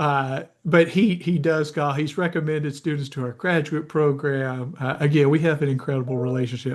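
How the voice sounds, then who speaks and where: Against noticeable background noise, a man with a fairly high voice talks at a fairly quick pace with fairly even intonation. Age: 60s. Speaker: sport marketing professor. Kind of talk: interview.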